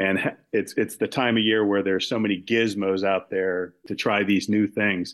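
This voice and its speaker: In an American accent, a man talks at a moderate pace with a plain, everyday voice, a fairly low pitch and fairly even intonation. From Maryland. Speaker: podcast listener. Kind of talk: casual chat.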